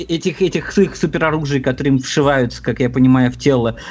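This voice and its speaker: Background noise can be clearly heard. Over it, a man talks rather quickly. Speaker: podcast co-host. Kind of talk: casual chat.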